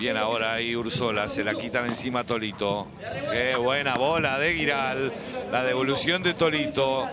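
A man's medium-pitched voice with ordinary pitch variation, over noticeable background noise. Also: moderate pace, very even loudness. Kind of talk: live sports commentary. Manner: bursts of exclamations at spectacular points.

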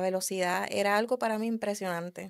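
A woman's monotone, flat delivery in a Puerto Rican accent, quiet background. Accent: Puerto Rican accent, kept. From Puerto Rico, raised in the US from early childhood. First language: English (speaking Spanish). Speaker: car enthusiast and drag racer; podcast guest. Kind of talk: casual interview chat; interview answer. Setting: studio. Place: studio. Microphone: studio mic.

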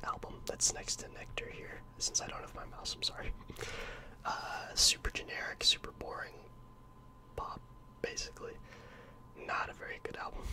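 A soft-spoken man whispering at a moderate pace, with big swings in loudness and light background noise. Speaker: music reviewer. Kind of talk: casual commentary. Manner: soft close-mic whisper. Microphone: studio mic.

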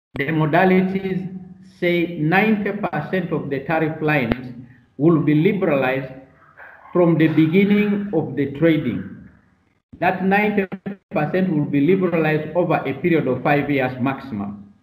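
With long, frequent pauses, a man talks fairly slowly in a fairly high voice with ordinary pitch variation, and room echo is audible. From Uganda. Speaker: trade policy official. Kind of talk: webinar panel discussion.

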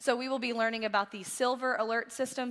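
Very fast talking with a quiet background. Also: woman. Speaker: church staff giving announcements. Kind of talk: church announcements. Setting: church service. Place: church. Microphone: headset.

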